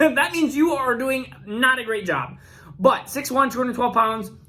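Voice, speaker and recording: A man's raised, projected voice has a bright, sharp tone and lively intonation. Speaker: fantasy football youtuber. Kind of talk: youtube video commentary. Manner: fast.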